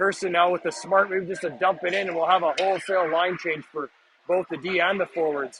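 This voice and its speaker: A man with a high pitch over noticeable background noise. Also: fairly quick pace. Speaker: amateur hockey play-by-play commentator. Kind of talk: live commentary. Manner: fast, animated.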